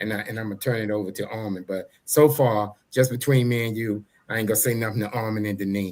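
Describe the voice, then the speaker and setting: This man talks at a very fast pace with a fairly low pitch and fairly even intonation. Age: 60s. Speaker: talk show co-host, army veteran. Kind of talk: casual interview chat.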